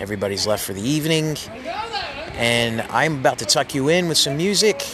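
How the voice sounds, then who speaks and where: A man's upbeat, enthusiastic voice with lively intonation over noticeable background noise. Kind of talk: radio DJ patter, live-on-location broadcast intros and outros.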